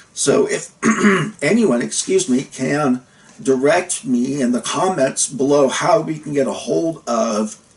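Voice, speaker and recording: Lively intonation carries the speech at a fairly slow pace over noticeable background noise. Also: man, fairly high pitch for a man. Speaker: vlogger with chronic pain, former worker. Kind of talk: casual vlog monologue.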